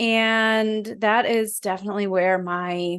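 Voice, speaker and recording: A woman speaks with a New Jersey accent. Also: quiet background. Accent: New Jersey American. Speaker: videographer and photographer. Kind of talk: interview. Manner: articulate.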